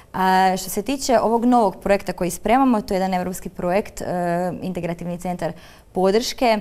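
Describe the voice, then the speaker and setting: A woman's dark, mellow voice moves at a fairly quick pace with fairly even intonation. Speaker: special education therapist. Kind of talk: studio interview. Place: studio. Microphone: lapel.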